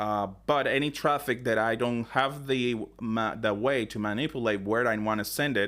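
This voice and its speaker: A man with a non-native accent at medium pitch and a moderate pace, fairly even in intonation, on a very clean recording with a silent background. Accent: heavy non-native. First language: not English. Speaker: tech tutorial creator. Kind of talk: tutorial. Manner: unscripted, hesitant with fillers.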